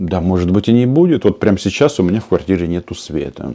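Moving at a fairly quick pace, a man with a fairly low pitch and a dark, mellow tone speaks with lively intonation. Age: 40s. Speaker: political YouTube commentator. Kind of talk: political commentary monologue.

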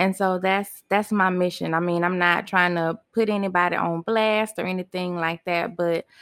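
An ordinary speaking voice from a woman at a fairly low pitch, with fairly even intonation, on a very clean recording with a silent background and a dry, close sound with no echo. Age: 40s. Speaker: podcast host. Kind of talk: personal venting monologue. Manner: casual, with frequent fillers.

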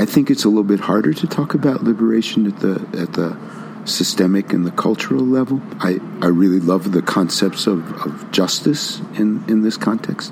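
The man's fairly low voice carries over noticeable background noise. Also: lively intonation, moderate pace. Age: 60s. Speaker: senior consultant. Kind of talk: personal reflection monologue. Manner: halting, repeats words.

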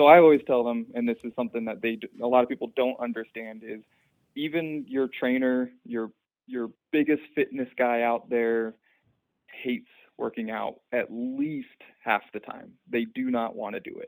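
A normal speaking voice from a man with an American accent, medium pitch, moderate pace, fairly even intonation and big swings in loudness, on a very clean recording with a silent background and a dry, close sound with no echo. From Utah, US. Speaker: personal trainer. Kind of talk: casual chat.

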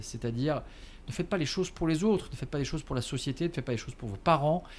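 A man talks with ordinary pitch variation. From Alsace, France. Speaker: entrepreneur. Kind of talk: interview. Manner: hesitant, with fillers and repetitions; laughs often.

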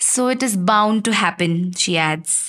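A woman speaks at a medium pitch with lively intonation, in a plain, everyday voice. The recording is very clean, with a silent background. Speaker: writer reading her own chapter. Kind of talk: literary audiobook reading, first-person memoir with dialogue.

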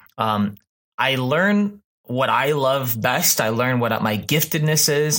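In a very clean recording with a silent background, a man with an American accent speaks at a medium pitch in a bright, sharp tone, his pitch varying in an ordinary way. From Texas, Houston. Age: 30s. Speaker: pastor. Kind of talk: casual chat. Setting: studio.

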